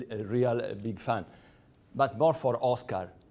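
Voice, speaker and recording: A man speaks at a moderate pace in an Italian accent. The recording is very clean, with a silent background. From Sardinia, Italy. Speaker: lecturer. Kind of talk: lecture.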